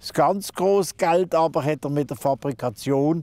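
The voice has a dark, mellow tone and ordinary pitch variation. The sound is dry and close with no echo, in a very clean recording with a silent background. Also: man. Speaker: local historian and presenter. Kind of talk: scripted narration.

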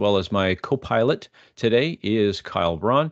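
Over a quiet background, a man talks with ordinary pitch variation in a dry sound with no echo. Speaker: webinar host. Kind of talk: webinar presentation. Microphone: video call.

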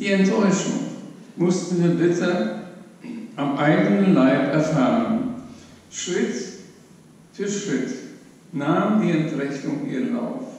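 A man with a high-pitched voice speaks very slowly, leaving long, frequent pauses. His intonation is lively, and strong room echo surrounds him. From Hamburg, raised in Upper Silesia, Poland; Poland. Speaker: Holocaust survivor; witness. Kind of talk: eyewitness testimony. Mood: grave, sober. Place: hall.

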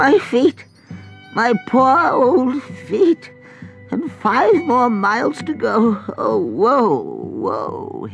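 A man uses a put-on character voice, croaky and extremely high. He goes at a very slow pace while faint music plays in the background. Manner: grumpy, complaining.

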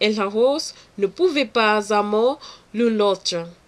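A woman with a non-native accent speaks at a very slow pace. Her pitch is fairly high, with ordinary variation. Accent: non-native French learner. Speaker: French language student. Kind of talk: read oral exam answer.

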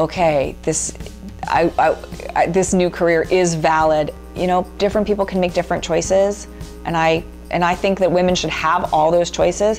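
A woman at a fairly low pitch and moderate pace with monotone, flat intonation over faint background music. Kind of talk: interview answer. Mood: reflective, earnest. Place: home room. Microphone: lapel.

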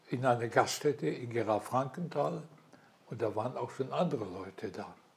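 The man's intonation is lively. There is a somewhat breathy quality to his voice. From Silesia. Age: 80s+. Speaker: war veteran, retired headteacher. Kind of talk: interview answer. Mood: calm, reflective storytelling. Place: home room. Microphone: lapel.

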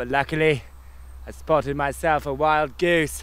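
The speaker is a man. His voice sounds dry, with no echo. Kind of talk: mock documentary presenting. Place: forest.

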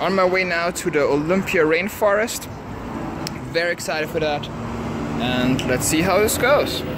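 At a moderate pace, a man speaks with ordinary pitch variation, the sound dry with no echo despite noticeable background noise. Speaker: road trip vlogger. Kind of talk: casual vlog chat. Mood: upbeat despite mishaps. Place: street. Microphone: phone near.

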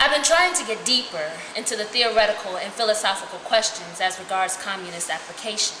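Over noticeable background noise, a woman with a fairly high voice talks at a very fast pace, with lively intonation and hardly any pauses. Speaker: reader of prisoner letters. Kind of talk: dramatic reading of a letter. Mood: earnest, calm. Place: home room. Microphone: camera far.

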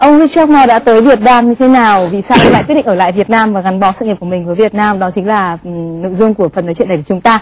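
Over noticeable background noise, a woman talks at a very fast pace in a fairly high voice with lively intonation. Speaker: TV talk show host. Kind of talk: TV interview. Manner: formal.

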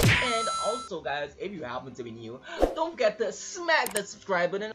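Loud background noise behind a man's moderately paced speech. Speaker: gaming youtuber. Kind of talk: casual vlog outro chat. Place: home room.

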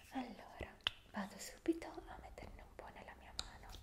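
The speaker is a woman talking in a whisper. She keeps a fairly slow pace. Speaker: relaxation video host. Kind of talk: soft guided tutorial. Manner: soft, close-mic ASMR voice. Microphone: studio mic.

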